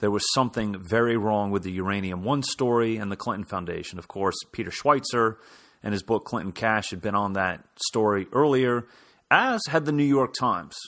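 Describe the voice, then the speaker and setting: This man has an ordinary speaking voice with an American accent, fairly low in pitch, with ordinary pitch variation at a moderate pace. The recording is very clean, with a silent background. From Kansas. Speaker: political commentator, podcast host. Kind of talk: political commentary monologue.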